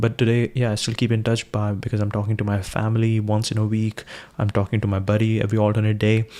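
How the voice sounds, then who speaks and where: With an Indian accent, a man speaks at a very fast pace. His pitch is fairly low. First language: Hindi. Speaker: live streamer. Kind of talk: casual livestream monologue. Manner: halting, many fillers and restarts.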